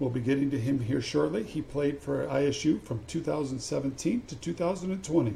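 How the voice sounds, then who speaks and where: A plain, everyday voice runs at a fairly slow pace with ordinary pitch variation and hardly any pauses. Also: man, fairly high pitch for a man. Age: 50s. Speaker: podcast host, former college basketball player. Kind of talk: casual interview.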